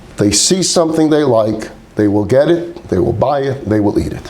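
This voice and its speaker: Over noticeable background noise and audible room echo, a man with a fairly high voice talks in an animated tone with lively intonation. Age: 60s. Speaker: rabbi teaching a class. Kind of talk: lecture.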